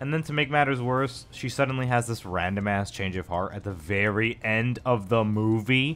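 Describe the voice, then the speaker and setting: Music plays in the background. A man talks at medium pitch with ordinary pitch variation. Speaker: YouTube video essayist. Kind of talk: video essay rant. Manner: fast; animated.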